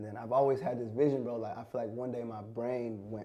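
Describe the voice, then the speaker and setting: A man with an American accent talks at a very fast pace in a medium pitch with a dark, mellow tone. His intonation is monotone and flat, and audible room echo surrounds him. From US Midwest, Minnesota. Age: 20s. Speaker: fashion designer. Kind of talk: casual chat.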